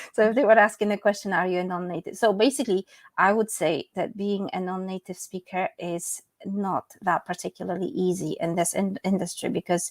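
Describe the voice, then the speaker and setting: A woman's medium-pitched voice at a fairly quick pace, with a Polish accent. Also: ordinary pitch variation. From Poland. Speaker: English teacher and medical interpreter. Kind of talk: interview.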